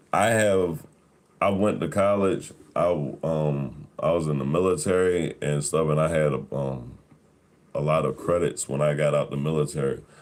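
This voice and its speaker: A man speaks at a moderate pace with ordinary pitch variation. His pitch is very deep and low. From Philadelphia, US. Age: 30s. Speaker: live streamer, military veteran. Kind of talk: casual livestream chat. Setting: livestream.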